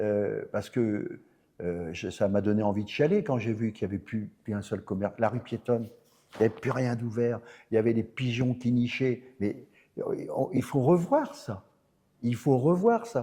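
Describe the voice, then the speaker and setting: The man's voice carries a dark, mellow tone, and his pitch varies in an ordinary way. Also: medium pitch for a man, fairly slow pace. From northern France, Nord. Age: 70s. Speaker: mayor, politician. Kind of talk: interview. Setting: theatre. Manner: animated.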